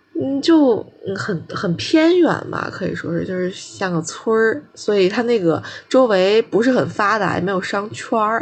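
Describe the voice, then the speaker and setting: Her pitch is medium and her intonation lively. This woman has an unremarkable speaking voice. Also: fairly slow pace. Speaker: podcast co-host, master's student. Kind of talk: casual chat.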